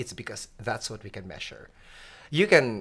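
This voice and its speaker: A man talks at a moderate pace with a medium pitch and an ordinary speaking voice. The recording is very clean, with a silent background. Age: 50s. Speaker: physician. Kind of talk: interview.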